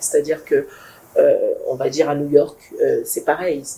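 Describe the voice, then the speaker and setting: A woman speaks at a moderate pace. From not Congolese, foreign to Congo. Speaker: project founder. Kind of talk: talk show interview. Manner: hesitant, many fillers.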